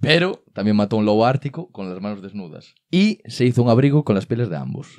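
Against a quiet background, a man at a medium pitch talks at a fairly quick pace with hardly any pauses and very wide pitch swings. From Galicia, Spain. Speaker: comedy podcast host. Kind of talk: casual chat. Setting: studio. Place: studio. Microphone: studio mic.

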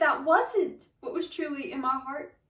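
A woman's high-pitched, bright, sharp voice with a dramatic tone, quiet background and audible room echo. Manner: dramatic, earnest rhythmic delivery with rhyming cadence; direct pleading address to the listener, rising urgency. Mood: earnest, emotional. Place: home room. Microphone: camera far.

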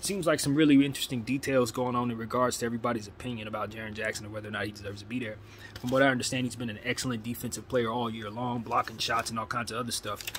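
A man's very fast speech with fairly even intonation over light background noise. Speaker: sports fan vlogger. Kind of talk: casual commentary. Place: home room. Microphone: phone near.

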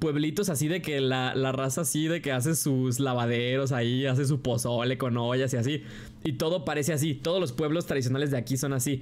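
Animated in tone, a man with a western Mexican accent speaks at medium pitch and a fairly quick pace, his loudness very even. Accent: Mexican Spanish (western Mexico). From Guadalajara, Mexico. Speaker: streamer. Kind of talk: casual reaction chat. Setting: livestream.

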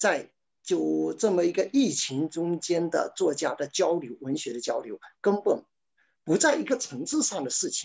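A man with a Chinese accent talks at a moderate pace. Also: quiet background. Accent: Mandarin Chinese. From China. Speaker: novelist. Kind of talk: panel discussion. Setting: video call. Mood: reflective, calm. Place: home room. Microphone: webcam.

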